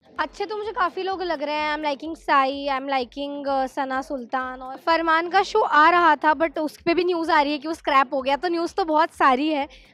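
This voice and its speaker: A woman speaks at a fairly quick pace with hardly any pauses, her pitch high and her pitch variation ordinary. Her tone is bright and sharp, and the sound is dry with no echo. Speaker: actress. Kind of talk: interview. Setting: at an event. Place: home room. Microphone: handheld.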